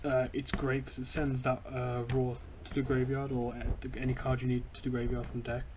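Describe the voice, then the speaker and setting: With audible room echo, a man with a British accent speaks at a medium pitch in a monotone, flat intonation. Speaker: YouTuber, card game deck reviewer. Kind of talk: casual tutorial-style deck profile. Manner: quiet, trying not to be loud; halting, many fillers and repetitions.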